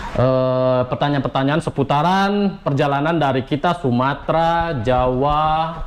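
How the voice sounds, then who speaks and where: A man is speaking. Background noise is noticeable. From Riau, Indonesia. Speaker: vlogger answering viewer questions. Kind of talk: casual Q&A chat.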